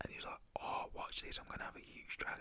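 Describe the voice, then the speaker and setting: A man is whispering. His voice stays at a whisper throughout. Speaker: ASMR storyteller. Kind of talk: ASMR storytime, casual personal anecdote. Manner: whispered, conversational.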